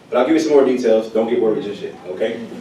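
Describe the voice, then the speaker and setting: Talking at a very fast pace, a man is heard with audible room echo and noticeable background noise. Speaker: sheriff's office representative. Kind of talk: presentation.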